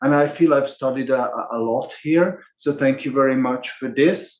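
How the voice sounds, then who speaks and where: Speaking with a non-native accent, this man has a medium pitch. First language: not English. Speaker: workshop organizer. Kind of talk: closing remarks. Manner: halting, many fillers and repetitions.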